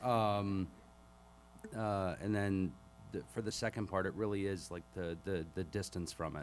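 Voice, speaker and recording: With an American accent, a man speaks fairly slowly at a fairly low pitch, with ordinary pitch variation and long, frequent pauses. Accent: little Boston accent now. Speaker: war veteran. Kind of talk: panel discussion. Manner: halting.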